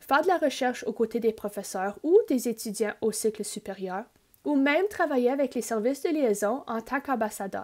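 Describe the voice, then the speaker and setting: This woman has a high pitch and lively intonation, speaking in an Ontario French accent. The recording is very clean, the background silent. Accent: Franco-Ontarian French. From Northern Ontario, Greater Sudbury. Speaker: university liaison officer. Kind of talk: scripted presentation.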